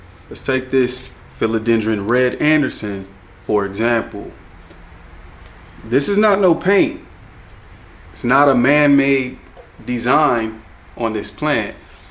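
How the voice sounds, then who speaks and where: With audible room echo, a man with a medium-pitched voice speaks at a very slow pace in a relaxed tone, lively intonation and long, frequent pauses. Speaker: plant collector YouTuber. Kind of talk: casual tutorial plant tour. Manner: casual, relaxed.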